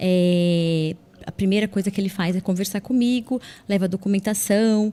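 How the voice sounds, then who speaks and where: A woman at medium pitch talks at a moderate pace, in a plain, everyday voice. Her intonation is fairly even, and her loudness very even. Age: 40s. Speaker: social worker. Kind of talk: interview.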